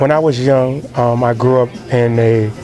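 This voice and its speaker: A man with an American accent talks at a fairly slow pace and medium pitch over noticeable background noise. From Connecticut, US (Bridgeport). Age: 30s. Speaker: children's book author. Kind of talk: interview. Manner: halting.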